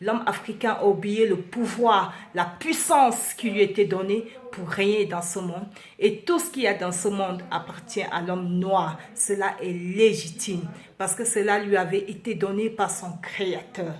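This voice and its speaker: A woman talks at a medium pitch and a fairly slow pace with ordinary pitch variation. Audible room echo and noticeable background noise surround her voice. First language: Beti (Ewondo) (speaking French). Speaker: vlogger. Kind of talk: impassioned monologue. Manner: halting, searching for words.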